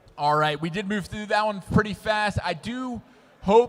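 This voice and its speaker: Noticeable background noise accompanies a man with an American accent who speaks at a high pitch and a moderate pace. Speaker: sports commentator. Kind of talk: live commentary. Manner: animated.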